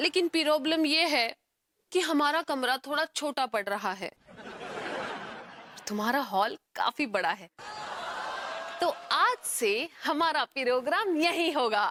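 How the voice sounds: A woman puts on a character voice, high-pitched with a bright, sharp tone and lively intonation. She speaks slowly, and the sound is dry and close with no echo.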